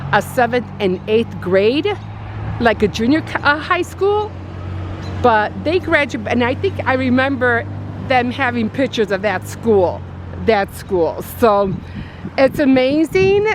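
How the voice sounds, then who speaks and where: At a fairly slow pace and with long, frequent pauses, a woman with an American accent speaks over noticeable background noise. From Chicago, US Midwest. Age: 60s. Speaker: craft and lifestyle vlogger. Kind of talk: casual vlog walking tour. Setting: outdoors in neighborhood. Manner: halting, casual with fillers.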